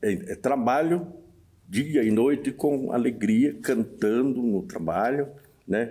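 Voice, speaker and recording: A man's medium-pitched, dark and mellow voice, very slow, with very wide pitch swings, on a very clean recording over a silent background. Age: 70s. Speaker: local musician. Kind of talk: documentary interview. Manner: halting.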